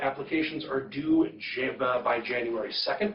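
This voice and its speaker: There is noticeable background noise behind this voice. A man talks at a fairly high pitch. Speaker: rural health program staff presenter. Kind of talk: informational presentation. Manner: fast. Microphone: too far from the mic, remote site can't hear.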